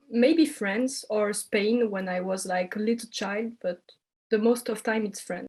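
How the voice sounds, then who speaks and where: A woman with a French accent speaks at a fairly slow pace, her pitch fairly high and somewhat breathy. Her pitch varies in an ordinary way. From French-speaking Belgium. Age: 20s. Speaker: communication student. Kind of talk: interview. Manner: hesitant.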